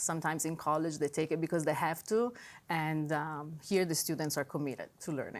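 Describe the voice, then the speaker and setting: This woman has a very deep, low pitch and a strong Italian accent, speaking at a fairly quick pace with fairly even intonation. The recording is very clean and the background silent. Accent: heavy Italian. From Italy. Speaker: high school language teacher. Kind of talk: interview.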